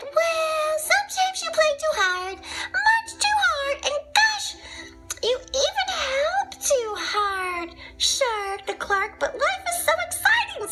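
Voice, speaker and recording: Over clear background music, a woman does a squeaky put-on character voice at an extremely high pitch and a very slow pace. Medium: read story. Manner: warm, teacherly.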